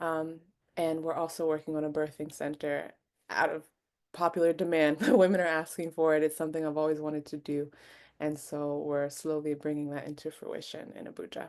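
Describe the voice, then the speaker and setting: Very deep, low pitch from a woman with a Mid-Atlantic American accent, monotone, flat intonation and a fairly quick pace, over a quiet background. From US, Maryland. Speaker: doula and childbirth educator. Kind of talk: webinar conversation.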